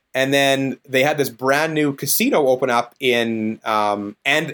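The man's voice is medium in pitch and varies in an ordinary way. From Saskatchewan, Canada. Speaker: DJ and business owner. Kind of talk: casual interview chat.

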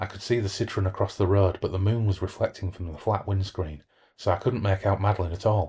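The intonation is fairly even. It's plain reading aloud.

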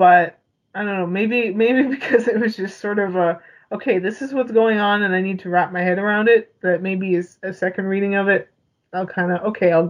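At a fairly quick pace, a woman with an unremarkable speaking voice talks in a medium pitch with fairly even intonation. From Canada. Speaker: podcast co-host. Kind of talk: casual chat.

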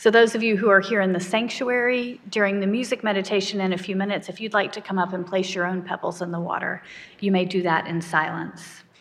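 This woman has a normal speaking voice at a medium pitch. Her intonation is fairly even. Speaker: minister. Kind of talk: sermon and prayer, worship service. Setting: church. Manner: solemn, earnest, fervent prayer in a slow, heartfelt, hushed cadence.

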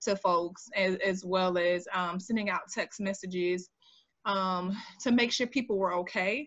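A woman speaks at a medium pitch and a moderate pace. Hers is a normal speaking voice. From Jacksonville, Florida (US South). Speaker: political candidate, community organizer. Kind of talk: interview.

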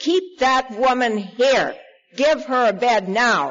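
A put-on character voice, raised and projected, fairly high in pitch and fairly slow in pace. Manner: commanding.

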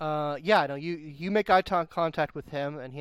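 The recording is very clean, with a silent background. A man with a plain, everyday voice speaks at a fairly quick pace with ordinary pitch variation. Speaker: game storyteller. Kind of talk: tabletop roleplaying game session, narrating and chatting.

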